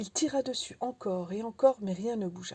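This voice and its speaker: Captured in a very clean recording with a silent background, the speaker has a dark, mellow, somewhat breathy tone, lively intonation and a fairly slow pace. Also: woman. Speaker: audiobook reader. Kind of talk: audiobook reading of a philosophical tale.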